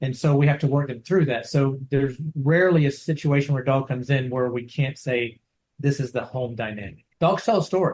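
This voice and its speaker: A somewhat breathy man with a fairly high pitch speaks at a fairly quick pace, with ordinary pitch variation. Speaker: dog trainer. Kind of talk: interview. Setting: video call. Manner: halting.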